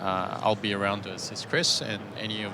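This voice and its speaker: A man's fairly low, monotone voice with flat intonation, amid audible room echo and noticeable background noise. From Malaysia and Australia. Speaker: platform engineer. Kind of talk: live workshop introduction.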